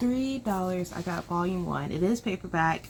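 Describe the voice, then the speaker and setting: Speaking at a fairly slow pace, a woman with a fairly low pitch sounds somewhat breathy, with lively intonation. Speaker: book vlogger. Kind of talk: casual vlog chat. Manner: quiet, talking low.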